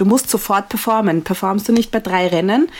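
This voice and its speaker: Speaking with an Austrian accent, a woman keeps a medium pitch with ordinary pitch variation. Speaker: Formula 1 podcaster. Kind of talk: casual chat. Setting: video call.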